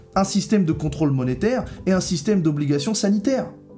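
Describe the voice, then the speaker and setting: A man's high voice, fairly quick and with lively intonation, over music in the background and audible room echo. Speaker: prophetic preacher. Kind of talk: sermon-style video teaching. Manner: earnest, serious.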